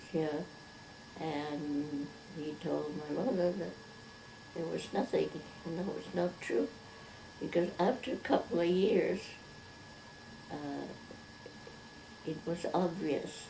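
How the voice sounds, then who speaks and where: A woman with a fairly low pitch speaks very slowly, with long, frequent pauses and ordinary pitch variation. Background noise is noticeable. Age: 80s+. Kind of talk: interview answer.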